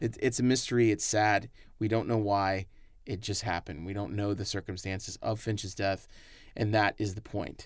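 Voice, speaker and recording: A man has a normal speaking voice, fairly low in pitch with fairly even intonation. The recording is very clean with a silent background. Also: moderate pace. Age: 30s. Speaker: film director. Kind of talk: film commentary.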